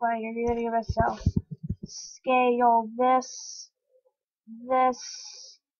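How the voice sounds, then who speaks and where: A woman speaks at a high pitch with music in the background. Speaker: gaming youtuber. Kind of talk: gameplay commentary. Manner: quiet.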